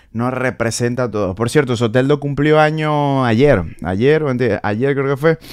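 There is a quiet background as a male voice moves at a moderate speed, its pitch shifting in an ordinary way. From Venezuela, Maracaibo; Venezuela. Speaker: comedian. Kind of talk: comedic commentary. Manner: animated. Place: home room. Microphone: studio mic.

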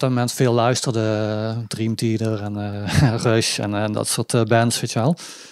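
An ordinary speaking voice from a man at medium pitch, fairly slow pace, and hardly any pauses. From southern Netherlands, Limburg (Budel/Weert). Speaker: sitar player in a band. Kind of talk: casual interview chat. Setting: living room.

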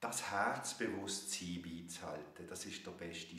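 A man speaks with a very deep, low voice. Room echo is audible around him. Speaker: spiritual teacher, author. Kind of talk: guided meditation. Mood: calm, gentle, warm. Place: home room. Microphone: webcam.

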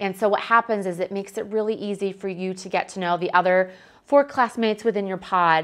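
A woman talks fairly quickly, her pitch varying an ordinary amount, with a quiet background behind her. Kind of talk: promotional presentation to prospective students.

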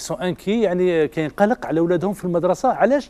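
A man speaks with an Algerian accent, his high pitch paired with a dark, mellow tone. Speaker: TV show host. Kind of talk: TV parenting show hosting. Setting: studio with audience. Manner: animated, code-switching Arabic and French. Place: studio.

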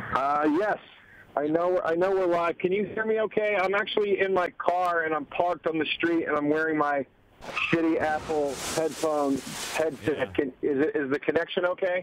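Over light background noise, a man speaks in a high-pitched voice. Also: ordinary pitch variation, moderate pace. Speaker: caller, talk show guest. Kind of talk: casual phone-in conversation. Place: car.

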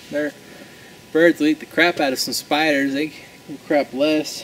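A man's speech comes through with light noise in the background. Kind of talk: comedic tutorial monologue. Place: forest. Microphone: camera far.

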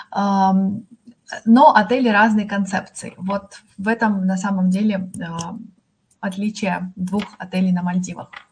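A woman talks at a very slow pace. Her voice is somewhat breathy and her intonation is monotone and flat. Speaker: hotel chain representative; presenter. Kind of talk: sales presentation. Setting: online webinar. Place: home room. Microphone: video call.

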